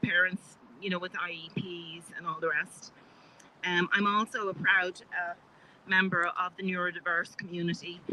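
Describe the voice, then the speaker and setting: A woman with an Irish accent speaks at a moderate pace in a medium pitch, her intonation monotone and flat. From Ireland. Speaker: health care advocate. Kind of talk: public speech. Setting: outdoor rally on capitol steps. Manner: halting, many fillers.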